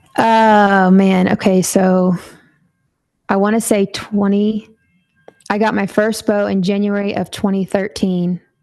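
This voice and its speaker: Over background music, a woman with an American accent speaks at a medium pitch and a fairly slow pace, her intonation monotone and flat, with long, frequent pauses. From Texas. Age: 30s. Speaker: bowhunter and outdoor industry brand manager. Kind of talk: podcast interview.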